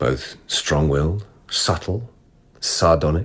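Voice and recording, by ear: In a put-on character voice, a man goes to an extremely low pitch with a slightly husky edge. His pace is slow and his intonation lively.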